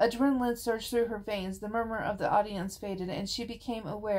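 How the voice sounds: Here is a natural reading voice. Its intonation stays fairly even.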